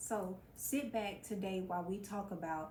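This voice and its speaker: A woman speaks at a very slow pace in a medium-pitched, somewhat breathy voice. There is audible room echo. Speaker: mental health vlogger. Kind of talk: motivational talk to camera. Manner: stumbles over words.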